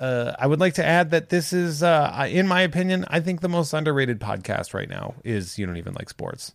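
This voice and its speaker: With an ordinary speaking voice, a man talks at a fairly quick pace and fairly high pitch, his intonation lively and his loudness swinging widely. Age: 40s. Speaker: podcast co-host, comedian. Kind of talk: casual chat. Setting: video call.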